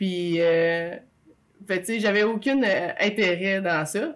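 A woman with a Quebec accent, at medium pitch, with ordinary pitch variation. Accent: Québécois French. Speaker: stay-at-home mother. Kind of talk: testimony.

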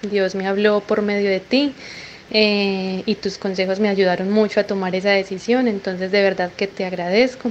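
At a moderate pace and with fairly even intonation, a woman speaks in an ordinary speaking voice. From Colombia. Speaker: caller. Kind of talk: recorded voice message.

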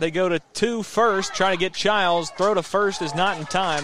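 A man's high-pitched voice at a moderate pace, with ordinary pitch variation over noticeable background noise. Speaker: play-by-play announcer. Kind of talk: live sports commentary, play-by-play calling pitches and counts. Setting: radio broadcast from the ballpark. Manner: brisk, steady, matter-of-fact call of each pitch and count.

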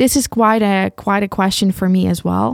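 A woman with a Ukrainian accent, in a very clean recording with a silent background and a dry, close sound with no echo. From Ukraine. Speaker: podcast host. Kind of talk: solo monologue reflecting on own podcast. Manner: halting, with many fillers.

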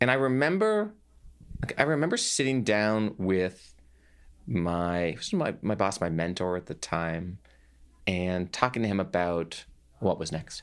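A man's very deep, low voice with lively intonation, a fairly slow pace, and long, frequent pauses. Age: 30s. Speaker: entrepreneur, former tech executive. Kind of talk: interview.

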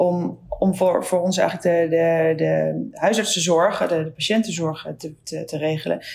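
A woman talks at a moderate pace with hardly any pauses over noticeable background noise. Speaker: podcast host, general practitioner. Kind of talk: interview. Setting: video call.

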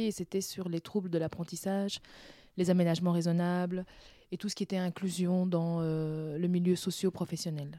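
In a very clean recording with a silent background, a woman with a fairly low pitch and a dark, mellow tone speaks at a moderate pace in a monotone, flat intonation. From Brussels, Belgium (born in Benin, arrived aged 4-5). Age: 30s. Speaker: sex education facilitator. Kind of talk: interview.

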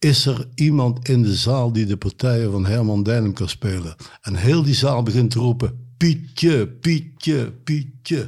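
A man speaks at medium pitch with hardly any pauses. His tone is dark and mellow, and somewhat breathy. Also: ordinary pitch variation, fairly slow pace. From Kempen, Brabant. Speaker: musician, saxophonist. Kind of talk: casual chat.

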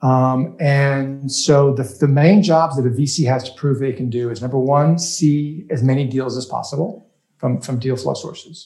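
Somewhat breathy, a man speaks with a fairly high pitch and fairly even intonation. He keeps a moderate pace with hardly any pauses. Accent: American. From US South, rural Louisiana. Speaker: startup investor and crowdfunding advocate. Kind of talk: casual interview.

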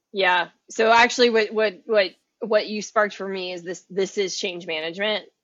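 A woman speaks at a medium pitch and moderate pace with fairly even intonation. She has a plain, everyday voice. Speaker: podcast co-host, consultant. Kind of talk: casual chat.

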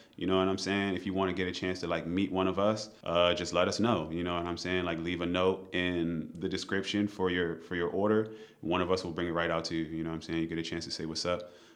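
Amid audible room echo, a man with a very deep, low pitch and an American accent talks at a very fast pace in a monotone, flat intonation with hardly any pauses. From Maryland, US. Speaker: chef and restaurant owner. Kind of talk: podcast interview. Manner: casual.

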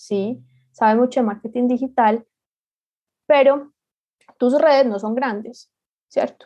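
Her intonation stays fairly even throughout. This woman's voice is high. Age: 20s. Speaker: digital marketer and entrepreneur. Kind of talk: interview.

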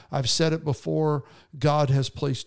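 In a very clean recording with a silent background and a dry, close sound with no echo, a man with a fairly high pitch uses an ordinary speaking voice, fairly even intonation and a moderate pace. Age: 50s. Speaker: marriage podcast co-host. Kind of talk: casual chat. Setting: studio.

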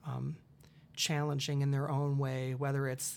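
Spoken in a monotone, flat intonation with an Upper Midwest accent, the voice sits on a very clean recording with a silent background. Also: man. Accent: Upper Midwest American. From Iowa, US Midwest (Dubuque). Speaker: college theater director. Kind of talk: casual interview. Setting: studio. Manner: halting, many fillers.

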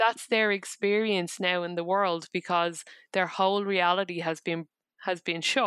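A woman speaks at a fairly slow pace. The recording is very clean with a silent background, and the sound is dry and close with no echo. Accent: Irish. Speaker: psychotherapist. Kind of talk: interview.

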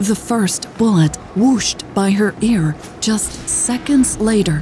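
A woman of medium pitch with ordinary pitch variation at a very slow pace, with noticeable background noise. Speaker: audiobook narrator and podcast host. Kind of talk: audiobook narration.

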